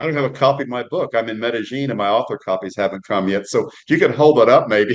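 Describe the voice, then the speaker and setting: A man's medium-pitched voice at a very fast pace, with ordinary pitch variation and hardly any pauses. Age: 70s. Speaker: author. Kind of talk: interview.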